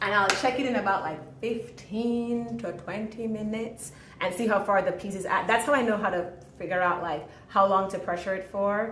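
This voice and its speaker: A woman's medium-pitched voice, with ordinary pitch variation, carries audible room echo. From Jamaica. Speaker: home cook. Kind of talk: cooking tutorial. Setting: home kitchen. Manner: fast.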